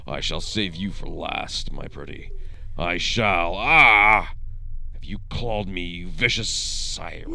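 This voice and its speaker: A man puts on a character voice. He talks at a fairly slow pace. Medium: audio drama. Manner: menacing, grandiose.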